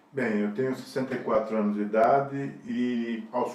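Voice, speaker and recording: A man with a medium-pitched voice is heard amid noticeable background noise and audible room echo. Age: 60s. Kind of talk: interview testimony. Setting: recorded interview with helpers present. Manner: casual, rambling with fillers.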